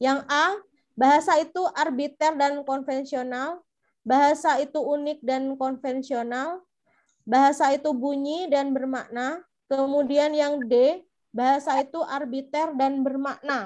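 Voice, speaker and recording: In a Madurese accent, a woman speaks at a fairly slow pace with high pitch and fairly even intonation against a quiet background. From Madura, Indonesia. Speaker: teacher trainer. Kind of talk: online lecture.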